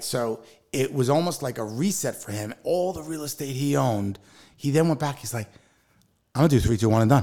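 A plain, everyday voice from a man with an American accent, medium in pitch, with ordinary pitch variation and a fairly quick pace, on a very clean recording with a silent background. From New Jersey, Livingston. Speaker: mortgage professional and real estate investor. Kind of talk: podcast interview.

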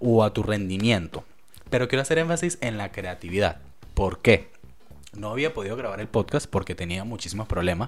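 The man talks at a fairly quick pace. His intonation is lively. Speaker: podcast host. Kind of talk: casual solo monologue. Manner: fast; halting.

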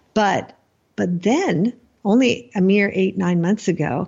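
With an American accent, a woman talks at a fairly slow pace in an ordinary speaking voice, medium in pitch with ordinary pitch variation. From United States. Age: 50s. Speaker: writer. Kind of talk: interview.

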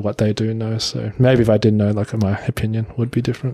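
A somewhat breathy man with an Australian accent and medium pitch. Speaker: office worker. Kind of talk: casual chat.

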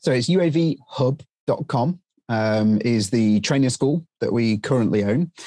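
Over a quiet background, a man with a British accent speaks at a very slow pace and medium pitch, his dark, mellow tone showing ordinary pitch variation and very even loudness in a dry, close sound with no echo. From UK. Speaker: drone training business owner and former helicopter instructor. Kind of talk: interview. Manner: halting.

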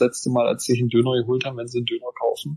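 His intonation is monotone and flat. This man's pitch sits in the medium range. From Saxony-Anhalt, eastern Germany. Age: 30s. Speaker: member of parliament. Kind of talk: interview.

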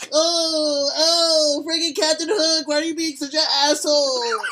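A put-on character voice, high-pitched and fairly slow, over clear background noise. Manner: exasperated.

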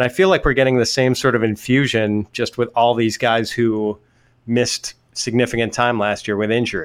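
A man with an ordinary speaking voice and a medium pitch talks at a moderate pace with fairly even intonation and very even loudness. The recording is very clean, with a silent background. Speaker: fantasy football writer and podcast host. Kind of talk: podcast intro and casual chat.

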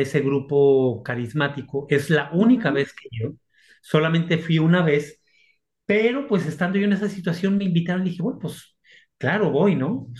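Somewhat breathy, this man has a fairly high pitch. His intonation is lively. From Mexico, Aguascalientes. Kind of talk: interview testimony.

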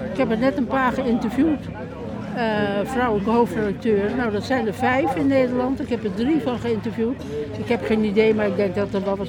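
A woman speaks at a fairly quick pace in a fairly high pitch, with ordinary pitch variation. Crowd noise fills the background and the room echo is audible. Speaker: retired journalist and former editor-in-chief. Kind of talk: speech at unveiling, then interview.

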